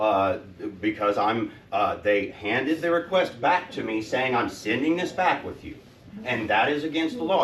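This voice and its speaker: A man with a fairly high voice speaks in very wide pitch swings over noticeable background noise. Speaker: citizen activist. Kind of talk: public comment at meeting. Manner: louder when excited.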